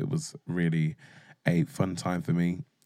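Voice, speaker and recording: Over a silent background in a very clean recording, a man with a very deep, low pitch speaks in an animated tone. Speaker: podcast host. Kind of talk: casual chat. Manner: animated, bantering.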